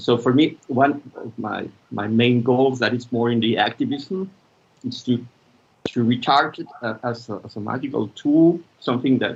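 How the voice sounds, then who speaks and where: This man has a Spanish accent and a medium pitch. He talks at a moderate pace with ordinary pitch variation. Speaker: filmmaker and media practitioner. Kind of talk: conference talk. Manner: halting.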